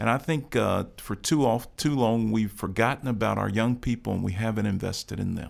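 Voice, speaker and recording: Recorded very cleanly against a silent background, a man with an American accent and an unremarkable speaking voice talks at a moderate pace and medium pitch, with ordinary pitch variation. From Chicago South Side. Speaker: county commissioner. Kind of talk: interview. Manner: oratorical.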